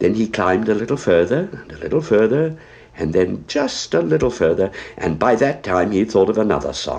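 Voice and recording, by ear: The voice sounds natural. It is reading aloud.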